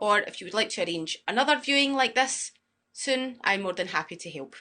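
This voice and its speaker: Over a quiet background, a woman with a Glasgow accent speaks fairly quickly in a fairly high, bright, sharp tone, with very wide pitch swings and big swings in loudness. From Scotland, Glasgow. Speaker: student accommodation sales supervisor. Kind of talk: guided property tour with live Q&A.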